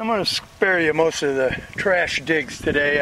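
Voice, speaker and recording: A man speaks at a moderate pace in a dry sound with no echo, over loud background noise. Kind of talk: casual vlog commentary. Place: open country. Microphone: phone near.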